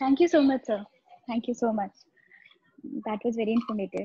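A woman speaks at a moderate pace with ordinary pitch variation and a somewhat breathy voice, her loudness swinging widely between long, frequent pauses, in a dry, echo-free recording over a quiet background. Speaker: law student. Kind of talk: audience question. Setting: video call. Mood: polite, grateful. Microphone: video call.

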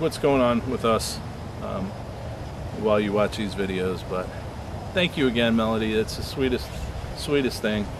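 With long, frequent pauses, a man talks at a moderate pace and ordinary pitch variation, the sound dry with no echo and noticeable background noise behind him. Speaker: explorer vlogger. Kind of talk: casual vlog chat. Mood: warm, grateful, relaxed. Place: forest.

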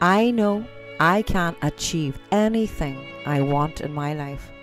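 Music plays behind a woman with a very deep, low pitch and an Irish accent. Her tone is calm and soothing, with ordinary pitch variation. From Ireland. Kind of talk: guided affirmation meditation. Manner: calm, slow, soothing.

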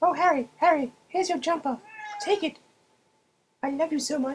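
A put-on character voice, female-sounding and high-pitched, at a moderate pace. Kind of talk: comic overacting. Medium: fan dub. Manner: bossy, doting.

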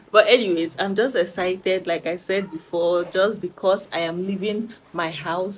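A woman at a moderate pace with ordinary pitch variation over light background noise. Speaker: vlogger. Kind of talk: casual vlog chat. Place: home room. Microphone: phone near.

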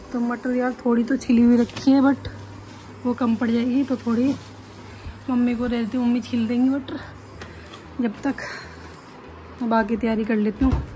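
Over light background noise, a woman speaks in a high pitch with monotone, flat intonation and long, frequent pauses. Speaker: home vlogger. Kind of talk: casual vlog chat. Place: home room. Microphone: phone near.

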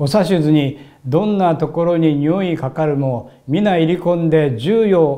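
Against a quiet background, a man with a dark, mellow tone speaks fairly slowly, his pitch varying in an ordinary way. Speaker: religious minister and lecturer; religious minister, lecturer. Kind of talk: sermon-style religious talk. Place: studio.

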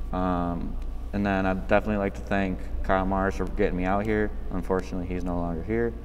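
Male voice with very wide pitch swings over light background noise. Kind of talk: interview answer. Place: hall. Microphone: camera far.

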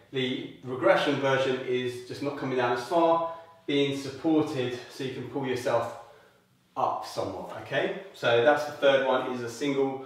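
A man speaks with fairly even intonation. Strong room echo fills the recording. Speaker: fitness instructor. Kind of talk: tutorial. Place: home room. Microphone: camera far.

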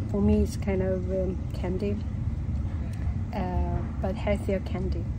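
Loud background noise fills the recording. A woman speaks at a very slow pace. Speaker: travel vlogger. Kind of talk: casual vlog chat. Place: train. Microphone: phone near.

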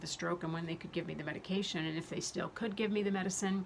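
Light background noise accompanies a woman speaking with fairly even intonation. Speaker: health vlogger. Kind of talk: casual vlog chat. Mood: earnest, somewhat angry. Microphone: phone near.

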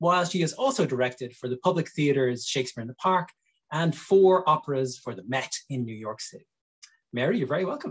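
The voice has lively intonation and a moderate pace against a quiet background. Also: man. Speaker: theatre director and interviewer. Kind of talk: reading a guest introduction. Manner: formal. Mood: warm and cheerful. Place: home room. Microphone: webcam.

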